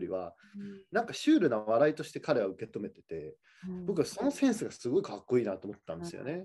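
A man talks at a very fast pace in a fairly high pitch with very wide swings. His tone is dark and mellow against a quiet background. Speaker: film director; guest. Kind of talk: interview chat. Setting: video call. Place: home room. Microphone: video call.

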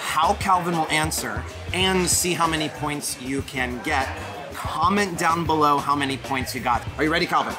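A man speaking at a moderate pace, with clear music in the background. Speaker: food vlog host. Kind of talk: casual vlog chat. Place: street.

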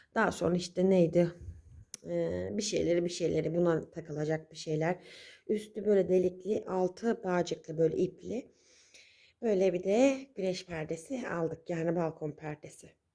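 Putting on a raspy character voice, a woman speaks quietly at a moderate pace and fairly low pitch. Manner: quiet, hushed.

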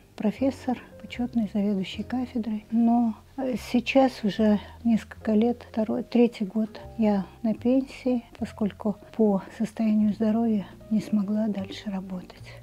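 Fairly high-pitched and somewhat breathy, a woman talks at a fairly slow pace with fairly even intonation and a dark, mellow tone. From Kazakhstan. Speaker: retired physics professor. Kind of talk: interview recollections. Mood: calm, reminiscing. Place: home room. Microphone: lapel.

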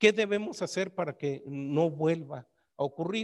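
A man talks with ordinary pitch variation. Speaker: historian researcher. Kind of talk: academic conference talk.

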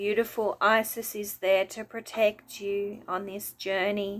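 Soft-spoken and soothing, a woman talks in a gentle, flat monotone. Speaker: wellness video host and meditation guide. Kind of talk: guided meditation. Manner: slow, soothing, gentle; calm, soft-spoken. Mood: calm, soothing. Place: home room. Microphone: phone near.

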